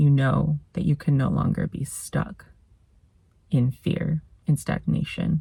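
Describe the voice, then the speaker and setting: The speech moves at a very slow pace, with long, frequent pauses. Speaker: spiritual content creator. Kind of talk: personal talk to camera; channelled spiritual message. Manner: stutters at times; halting.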